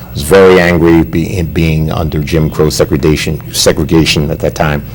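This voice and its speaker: A man's very deep, low voice with fairly even intonation, fairly quick pace and noticeable background noise. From New Jersey, US (New Brunswick). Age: 60s. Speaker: pastor and motivational speaker. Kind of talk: TV interview. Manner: halting, repeats words.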